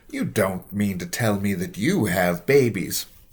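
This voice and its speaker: Someone uses a put-on, growling character voice at a moderate pace. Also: man, fairly low pitch for a man. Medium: read story. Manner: proud, booming.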